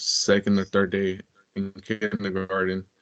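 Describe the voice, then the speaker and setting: A fairly low male voice with a Spanish accent, dry and close with no echo. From US, Mexican-American family. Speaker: former prisoner sharing his story. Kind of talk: interview testimony. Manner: halting, with repeated words and fillers.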